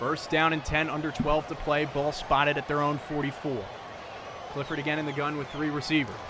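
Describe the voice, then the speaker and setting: Over noticeable background noise, a man talks in a monotone, flat intonation at a fairly high pitch. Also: fairly quick pace. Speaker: play-by-play football announcer. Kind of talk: live sports broadcast play-by-play.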